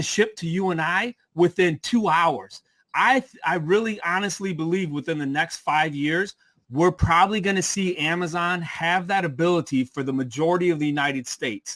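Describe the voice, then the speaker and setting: Energetic and high-pitched, a man speaks with ordinary pitch variation in a dry, close recording with no echo. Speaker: online seller and business coach. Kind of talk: live webinar presentation. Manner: fast. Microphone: sounded good despite frozen camera.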